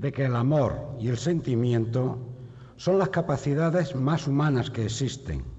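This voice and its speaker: At a fairly slow pace, a man speaks in a solemn tone with vocal fry and ordinary pitch variation. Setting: stage with audience in theatre. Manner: solemn, measured, rhetorical, fervent.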